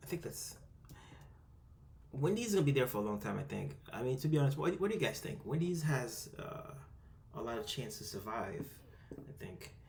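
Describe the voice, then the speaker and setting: A fairly quick, fairly high-pitched male voice with very wide pitch swings, long, frequent pauses, and audible room echo. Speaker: amateur investing youtuber. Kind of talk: screen-recorded tutorial. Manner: fast, rushed; hesitant, many fillers.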